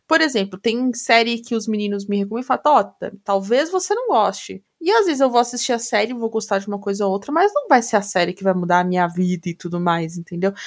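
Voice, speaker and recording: A woman with a plain, everyday voice talks at a fairly quick pace with lively intonation. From Brazil. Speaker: podcast co-host. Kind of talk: casual chat.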